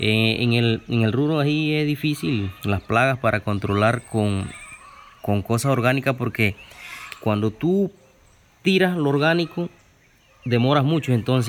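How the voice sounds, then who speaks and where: Amid noticeable background noise, a man speaks fairly slowly at a medium pitch, keeping his loudness very even and his pitch variation ordinary. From Chiriquí, Panama. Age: young. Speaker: farmer. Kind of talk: interview. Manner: halting.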